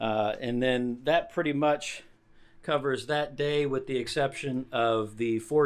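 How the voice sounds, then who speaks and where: At a fairly slow pace and with ordinary pitch variation, a plain, everyday voice speaks over a quiet background. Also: man. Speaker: hiking vlogger. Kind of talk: gear tutorial vlog. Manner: casual with many fillers.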